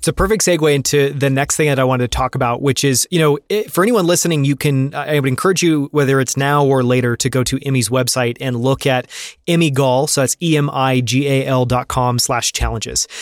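In a normal speaking voice, a man talks at a fairly quick pace with a fairly high pitch and very even loudness, on a very clean recording with a silent background and a dry, close sound with no echo. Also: ordinary pitch variation. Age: 30s. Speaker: podcast host. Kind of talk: interview.

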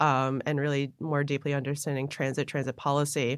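Very deep and low in pitch, a woman talks at a fairly quick pace on a very clean recording with a silent background. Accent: American. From Buffalo, New York. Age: 30s. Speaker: transit board director. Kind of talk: interview.

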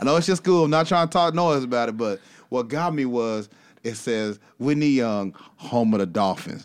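A man with an American accent and an unremarkable speaking voice talks at a medium pitch and a moderate pace. His intonation is lively, and the recording is very clean with a silent background. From Texas. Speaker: podcast host. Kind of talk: casual interview chat; scripted show intro. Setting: studio.

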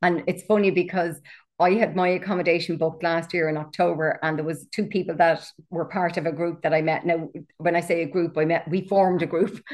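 A woman with an Irish accent, fairly low in pitch, at a fairly quick pace in a monotone, flat intonation, over a quiet background. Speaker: author, coach and walking guide. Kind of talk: casual interview chat.

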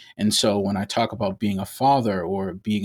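A man with an American accent has a plain, everyday voice, a fairly low pitch, and fairly even intonation at a moderate pace. The recording is very clean, with a silent background and a dry, close sound with no echo. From Brooklyn, New York and Massachusetts. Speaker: healthcare administrator. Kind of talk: interview.

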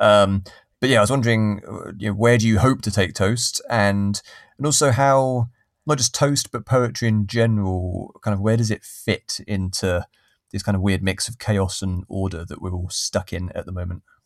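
An ordinary speaking voice at a moderate pace with ordinary pitch variation, dry and close with no echo on a very clean, silent background. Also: man, fairly low pitch for a man. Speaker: podcast host. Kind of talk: casual interview chat.

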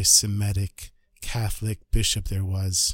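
A somewhat breathy man talks on a very clean recording with a silent background. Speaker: storyteller podcaster. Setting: Jerusalem. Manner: animated, conversational, shifting to present tense as the story builds.

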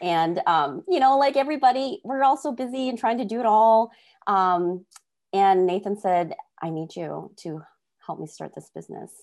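Recorded very cleanly against a silent background, a woman at a medium pitch speaks at a moderate pace, her pitch swinging very widely and her loudness rising and falling sharply. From North Dakota. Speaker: estate planning attorney and nurse. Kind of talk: interview.

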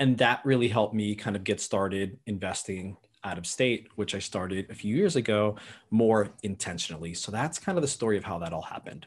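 With ordinary pitch variation, a man talks fairly quickly in a fairly low pitch. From US West Coast, Bay Area, immigrant family. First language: not English. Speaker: real estate investor. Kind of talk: interview.

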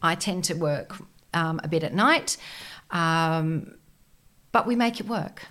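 In a very clean recording with a silent background, a woman with a fairly low pitch and a bright, sharp tone speaks at a very slow pace, with long, frequent pauses and ordinary pitch variation. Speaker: business mentor for entrepreneurs. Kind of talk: casual interview.

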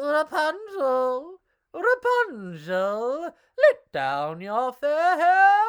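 At a very slow pace, a woman adopts a put-on character voice pitched high.

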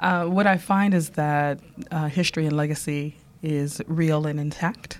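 A woman speaks at a fairly slow pace with an American accent. Her pitch is very deep and low, and her intonation is fairly even. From US Midwest, Detroit, Michigan. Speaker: cultural strategist. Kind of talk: interview. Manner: eloquent, passionate.

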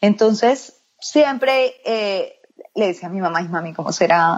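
A woman with an ordinary speaking voice, medium pitch and ordinary pitch variation. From Colombia, Medellín. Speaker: makeup artist. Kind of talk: interview.

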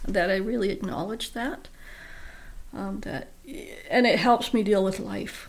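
With audible room echo, a woman speaks at a fairly slow pace. She takes long, frequent pauses. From Vancouver Island, Canada. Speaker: abuse survivor and blogger. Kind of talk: interview testimony. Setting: studio.

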